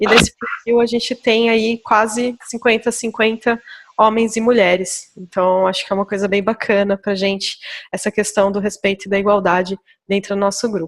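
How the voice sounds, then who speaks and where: This woman's medium-pitched voice moves at a moderate pace with monotone, flat intonation. The sound is dry and close, with no echo. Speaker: agile coach and meetup organizer. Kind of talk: online meetup presentation. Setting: remote online meeting.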